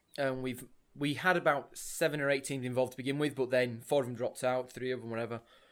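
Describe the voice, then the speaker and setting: This man talks at a very fast pace with fairly even intonation. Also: medium pitch for a man. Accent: Yorkshire. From northern England, Leeds. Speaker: podcast co-host, amateur rugby organiser. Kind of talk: casual chat.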